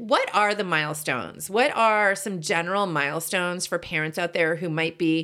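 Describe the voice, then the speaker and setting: A woman with an American accent and a fairly low pitch speaks in a bright, sharp tone at a moderate pace, with ordinary pitch variation, hardly any pauses, and a very clean recording with a silent background. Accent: mostly general American, little Boston. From Boston. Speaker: podcast co-host. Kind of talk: casual chat. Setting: home closet studio.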